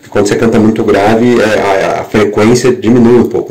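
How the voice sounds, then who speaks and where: A man talking at a fairly quick pace amid noticeable background noise and audible room echo. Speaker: worship leader. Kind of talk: podcast monologue. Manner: halting.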